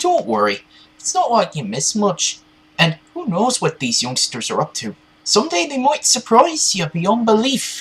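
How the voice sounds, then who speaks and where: A put-on character voice carries the speech, pitched fairly high. It moves at a moderate pace. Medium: machinima. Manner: calm, gently reassuring.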